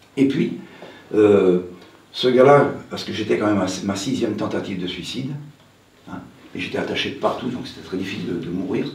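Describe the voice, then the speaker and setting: Amid noticeable background noise and audible room echo, a man with a fairly low pitch and lively intonation talks at a fairly quick pace, with long, frequent pauses and big swings in loudness. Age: 70s. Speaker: hypnotherapist. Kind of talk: conference talk. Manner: casual, conversational.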